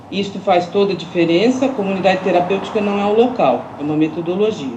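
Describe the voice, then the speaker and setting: A woman talks very fast at a medium pitch, with ordinary pitch variation. Audible room echo and noticeable background noise are present. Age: 60s. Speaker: social institution director. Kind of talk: public consultation statement. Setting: video call. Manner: hesitant fillers.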